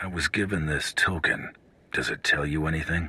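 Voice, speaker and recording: Putting on a raspy character voice, a man speaks at a moderate pace with a very deep, low pitch. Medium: video game. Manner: blunt, dry.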